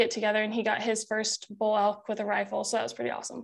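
Here a woman talks with an American accent. Her pitch is fairly high. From Oregon. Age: 20s. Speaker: bowhunter and outdoor content creator. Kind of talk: casual chat.

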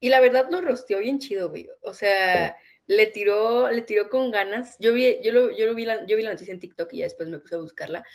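With an ordinary speaking voice, a woman talks at a fairly quick pace and fairly high pitch, with lively intonation, big swings in loudness and hardly any pauses. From northern Mexico. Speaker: podcast co-host. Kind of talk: casual chat.

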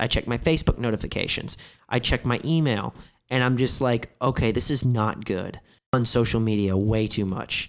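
On a very clean recording with a silent background, a man with an American accent and medium pitch talks at a fairly quick pace. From southern Illinois, US. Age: 30s. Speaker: actor and comedian. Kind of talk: casual chat. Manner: animated.

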